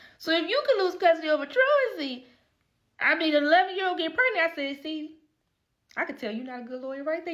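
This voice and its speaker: A woman's extremely high voice has a bright, sharp tone and very wide pitch swings. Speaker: lawyer. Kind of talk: casual talk to camera. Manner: fast.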